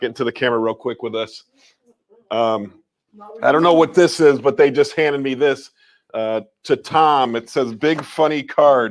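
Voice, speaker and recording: Using a normal speaking voice, a man at a medium pitch talks at a fairly quick pace. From rural New York. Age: 50s. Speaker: resale store owner and livestreamer. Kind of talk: casual livestream chat. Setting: live stream from his store.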